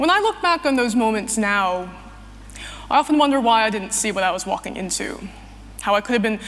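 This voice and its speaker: The speaker has an American accent and talks at a fairly quick pace. Noticeable background noise can be heard. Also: woman. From US Northeast, New Jersey. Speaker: activist and writer. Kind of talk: testimony speech.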